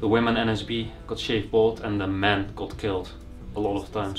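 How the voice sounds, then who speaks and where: Faint music sits behind a man who talks at a moderate pace in a monotone, flat intonation. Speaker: urban explorer vlogger. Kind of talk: casual vlog chat. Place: home room. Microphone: camera far.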